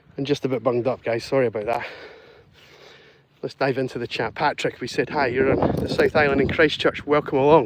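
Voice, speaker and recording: Talking at a fairly quick pace with long, frequent pauses, a man keeps a fairly even intonation over noticeable background noise. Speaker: dog walker live streamer. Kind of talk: live stream chat while walking dogs. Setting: outdoors.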